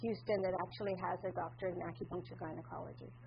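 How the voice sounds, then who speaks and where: A loud woman's voice with vocal fry swings very widely in pitch. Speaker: acupuncturist. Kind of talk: conference presentation. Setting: conference room with audience.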